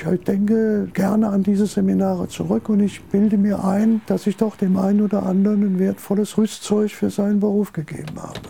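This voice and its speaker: A man's high-pitched, monotone, flat voice at a fairly quick pace. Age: 80s+. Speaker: retired journalist and newspaper editor. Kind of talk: interview testimony.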